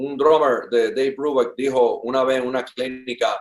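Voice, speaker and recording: With an ordinary speaking voice, a man talks at a fairly slow pace and a fairly high pitch. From Puerto Rico (Ponce family), born in Cuba. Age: 60s. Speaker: drummer. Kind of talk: interview conversation. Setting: at his home.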